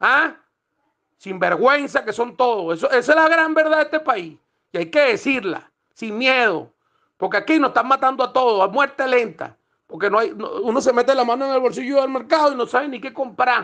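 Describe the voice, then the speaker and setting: Over a quiet background, a man uses a raised, projected voice at an extremely high pitch, bright and sharp in tone, with lively intonation. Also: moderate pace. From Venezuela. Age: 50s. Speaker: protester. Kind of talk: voice message rant. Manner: animated.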